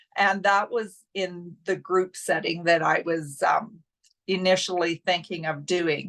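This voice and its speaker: The background is quiet as a woman speaks at a very slow pace. Her pitch is medium, and she talks with a Canadian Prairies accent. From Saskatchewan, Canada. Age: 60s. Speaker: coaching client. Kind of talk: testimonial interview.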